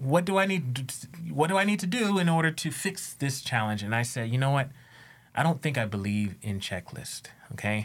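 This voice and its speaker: Recorded very cleanly against a silent background, a man with an American accent sounds somewhat breathy, his fairly high pitch swinging very widely. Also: fairly quick pace. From United States. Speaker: educator and equity consultant. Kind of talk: interview conversation. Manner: halting.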